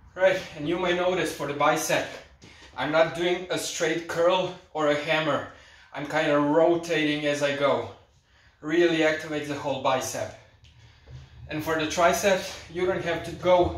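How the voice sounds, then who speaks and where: A man speaks at a moderate pace with fairly even intonation and long, frequent pauses, with audible room echo. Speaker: fitness instructor. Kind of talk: tutorial. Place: home room. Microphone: camera far.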